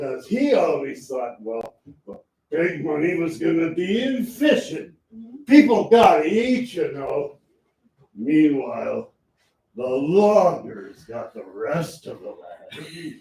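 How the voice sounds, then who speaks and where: Using a put-on character voice, a man speaks high for a man at a fairly slow pace, with a slight echo around him. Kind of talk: campy melodrama comic acting. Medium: stage play. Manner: rambling, folksy, full of hesitations.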